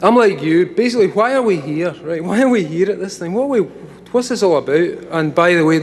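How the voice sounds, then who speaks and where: A high-pitched man in a Scottish accent, with lively intonation and hardly any pauses, over noticeable background noise. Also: fairly quick pace. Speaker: comic writer giving a talk. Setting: stage, live audience. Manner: casual, profane, conversational.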